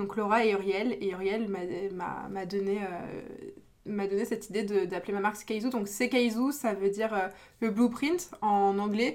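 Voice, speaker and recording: A woman's fairly high voice at a moderate pace with fairly even intonation. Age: 20s. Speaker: small business owner. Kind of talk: casual chat. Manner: halting.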